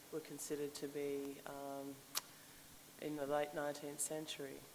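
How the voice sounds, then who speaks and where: A woman's very deep, low voice, fairly slow and monotone, with flat intonation. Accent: Australian. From Sydney, Australia. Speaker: linguist and professor. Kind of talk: acknowledgement of country and short talk.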